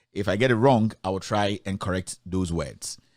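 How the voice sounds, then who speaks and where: A man with a Ghanaian accent. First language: Twi. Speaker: online news commentator. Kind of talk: news commentary, reading a court ruling. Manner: hesitant, with many fillers.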